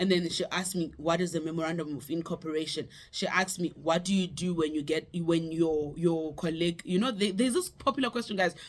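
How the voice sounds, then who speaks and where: Speaking at a very fast pace, a woman uses a fairly low pitch. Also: ordinary pitch variation. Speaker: lawyer and YouTuber. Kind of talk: casual advice vlog.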